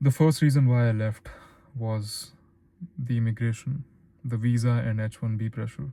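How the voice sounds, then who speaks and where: A man with an Indian accent, medium-pitched and somewhat breathy, dark and mellow in tone, at a moderate pace with fairly even intonation. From Philippines. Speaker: YouTuber, former stockbroker. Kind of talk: personal vlog monologue.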